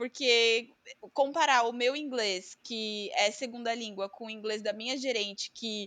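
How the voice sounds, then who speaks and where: This woman talks at a very slow pace with lively intonation. Her tone is bright and sharp. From Brazil. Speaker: podcast co-host, marketing worker. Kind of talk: casual chat.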